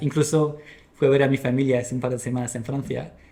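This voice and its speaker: A man speaks with a fairly high pitch and a dark, mellow tone. His intonation stays fairly even. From France. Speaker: podcast guest, product manager and musician. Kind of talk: casual interview chat. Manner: halting, many restarts.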